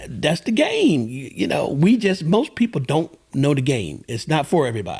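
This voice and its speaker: With vocal fry and very wide pitch swings, a man with a fairly high pitch talks at a moderate pace with hardly any pauses. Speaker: host's father, podcast guest. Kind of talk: casual chat. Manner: halting.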